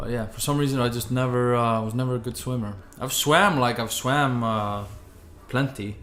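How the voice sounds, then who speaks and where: At a moderate pace and with fairly even intonation, the speech comes through with audible room echo. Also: man, medium pitch for a man. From Iceland. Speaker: podcast host. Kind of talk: casual chat.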